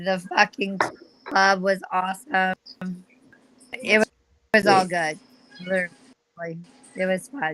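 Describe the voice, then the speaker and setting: With music in the background, a woman speaks at a medium pitch and a fairly slow pace, pausing long and often, in a dry, close sound with no echo. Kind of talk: casual chat. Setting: video call from bedroom.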